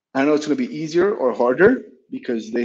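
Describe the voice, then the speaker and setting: A man with a Spanish accent at a moderate pace, with very wide pitch swings and a quiet background. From Colombia, Bogota; Colombia. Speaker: startup founder and CEO; guest. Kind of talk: interview. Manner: halting, with many repeated words. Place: office. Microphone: video call.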